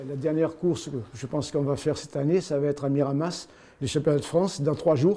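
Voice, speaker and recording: Talking at a very fast pace, this man has a fairly high pitch, a dark, mellow tone and fairly even intonation. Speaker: athletics coach. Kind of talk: interview.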